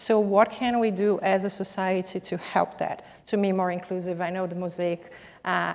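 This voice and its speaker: A woman speaks in a Brazilian accent at a moderate pace. Her medium pitch carries a monotone, flat intonation. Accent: foreign accent (Brazilian). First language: Portuguese. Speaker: corporate executive, panelist. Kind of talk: panel discussion. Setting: stage with audience.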